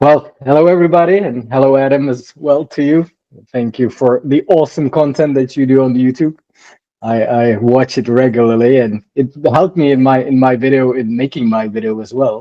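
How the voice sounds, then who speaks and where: Speaking with a non-native accent, a man talks at a moderate pace in a medium pitch with ordinary pitch variation. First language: not English. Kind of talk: interview. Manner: halting.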